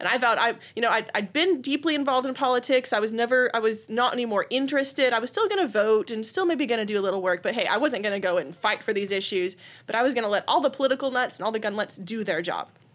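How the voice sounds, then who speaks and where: At a very fast pace with hardly any pauses, a woman with an American accent and a fairly high voice speaks with lively intonation. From Texas, Austin area. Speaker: gun rights activist. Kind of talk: interview.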